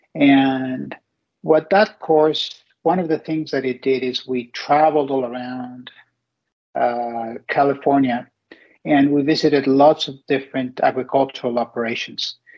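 A man with a Spanish accent speaks at a fairly high pitch. His intonation is fairly even and his pace fairly slow. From Mexico. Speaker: company CEO. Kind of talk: interview.

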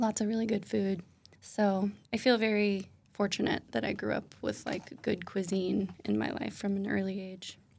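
Someone with an American accent and a normal speaking voice talks at a moderate pace with fairly even intonation. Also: woman, medium pitch for a woman. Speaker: cheesemonger. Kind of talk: interview.

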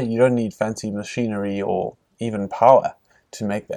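The man's dark, mellow tone and medium pitch come at a moderate pace on a very clean recording with a silent background. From South Africa, Cape Town. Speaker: architect and social entrepreneur. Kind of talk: interview. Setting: outdoor festival.

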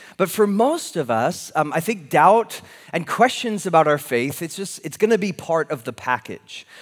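Lively intonation with an American accent. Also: man, high pitch for a man, moderate pace. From California. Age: 20s. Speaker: pastor. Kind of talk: sermon. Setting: church. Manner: halting.

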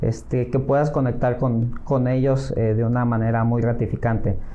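A man speaks at a moderate pace. Noticeable background noise and audible room echo fill the recording. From Mexico, Acapulco, Guerrero. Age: 40s. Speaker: real estate agent. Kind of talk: interview. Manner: hesitant, many fillers.

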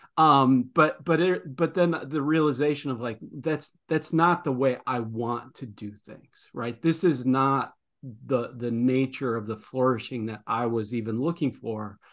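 Speaking slowly-ish with a Midwestern American accent, a man shows ordinary pitch variation over a quiet background. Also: medium pitch for a man. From US Midwest. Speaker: podcast host, former principal. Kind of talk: interview. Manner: halting, with many repetitions.

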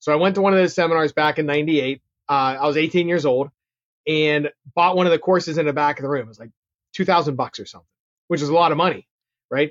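A man's fairly high-pitched voice in a Pittsburgh accent, very fast in pace yet broken by long, frequent pauses. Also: fairly even intonation. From Pittsburgh, Pennsylvania. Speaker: real estate investor and marketer. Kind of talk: interview, casual chat.

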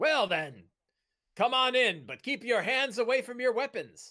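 A man's put-on character voice, extremely high in pitch, at a moderate pace. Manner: wary, gruff.

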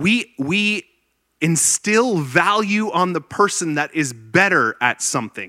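A man's high-pitched, animated voice in a Canadian accent, bright and sharp in tone, with very wide pitch swings, dry and close with no echo on a very clean recording with a silent background. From Ontario, Canada. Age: 30s. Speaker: pastor. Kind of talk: sermon.

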